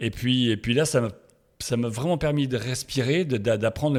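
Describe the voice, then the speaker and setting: A man's medium-pitched voice at a fairly quick pace, with ordinary pitch variation, on a very clean recording against a silent background. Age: 60s. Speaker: sports photographer. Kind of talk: interview. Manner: halting, many hesitations.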